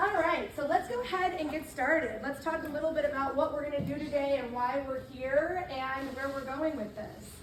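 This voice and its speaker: A loud, animated woman's voice, high in pitch, with ordinary pitch variation at a moderate pace. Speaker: chapter leader of a girls' civic leadership program. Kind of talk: workshop talk to a group of girls. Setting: library room with audience, also on Zoom, using a mic.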